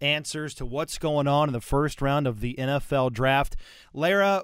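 With an ordinary speaking voice, a man talks at a fairly high pitch and a fairly slow pace on a very clean recording with a silent background. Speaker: podcast host. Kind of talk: casual chat. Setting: studio.

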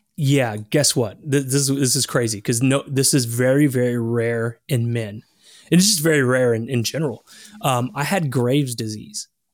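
A plain, everyday voice belongs to a man at medium pitch. He keeps a moderate pace with ordinary pitch variation. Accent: American. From Texas. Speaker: health coach and keto influencer. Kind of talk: interview.

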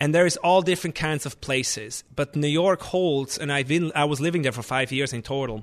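Against a quiet background, a man talks at a fairly quick pace. His pitch is fairly high. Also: ordinary pitch variation. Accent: Swiss German. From Switzerland. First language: Swiss German. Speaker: chef and restaurant owner. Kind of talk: interview.

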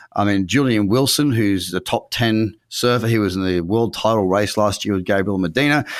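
With an Australian accent and a fairly low pitch, a man talks at a moderate pace with hardly any pauses and ordinary pitch variation, on a very clean recording with a silent background. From Queensland, Australia (Noosa Heads). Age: 30s. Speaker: trader and trading educator. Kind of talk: interview conversation. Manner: talkative.

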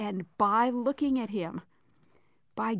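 A woman speaks in a plain, everyday voice, fairly high in pitch. She goes at a fairly slow pace on a very clean recording with a silent background. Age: 60s. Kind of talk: radio interview.

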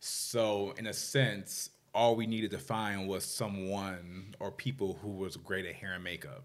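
A man speaks in an ordinary speaking voice, fairly low in pitch, with an American accent. His pace is fairly slow and his pitch varies in an ordinary way. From Washington DC area, US. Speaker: fashion stylist. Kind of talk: interview.

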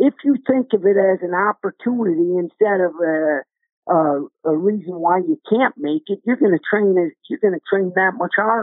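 Speaking in an American accent, a man uses a high pitch and lively intonation at a moderate pace. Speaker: wrestling coach, former wrestler. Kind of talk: casual sports discussion. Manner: blunt, outspoken.

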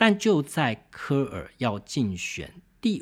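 The man's voice sits fairly high and swings very widely in pitch. The recording is very clean, with a silent background. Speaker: podcast host, book reviewer. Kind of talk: solo book review monologue.

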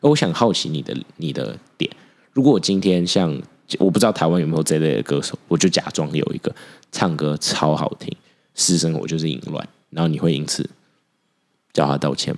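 A man talks at a fairly quick pace with a very deep, low pitch, vocal fry and ordinary pitch variation. Long, frequent pauses break up his speech. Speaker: podcast co-host. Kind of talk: casual chat. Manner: animated.

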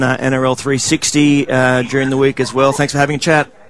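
Speaking in an Australian accent, a man talks at a fairly high pitch with monotone, flat intonation. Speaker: radio sports host. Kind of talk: radio sports show. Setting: at the ground during a match.

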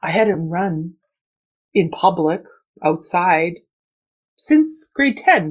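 At a very slow pace with long, frequent pauses, a woman speaks in a fairly low, somewhat breathy voice with lively intonation. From Canada. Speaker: runner. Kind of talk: interview.

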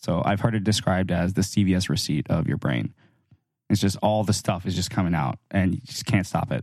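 A man with vocal fry talks at a fairly quick pace in a very deep, low pitch. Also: ordinary pitch variation. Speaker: podcast co-host, software developer. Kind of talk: casual banter, tech podcast. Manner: joking, sarcastic.

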